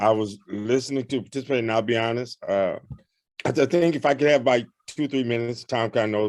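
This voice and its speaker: A man speaks with ordinary pitch variation. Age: 60s. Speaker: formerly incarcerated person, participant. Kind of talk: testimony. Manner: halting.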